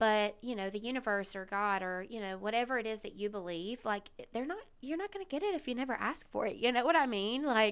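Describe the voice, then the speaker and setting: Lively intonation marks a woman's fairly high voice as she talks at a moderate pace. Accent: Southern US. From US South. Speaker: podcast host. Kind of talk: casual monologue. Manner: casual, with fillers and laughs.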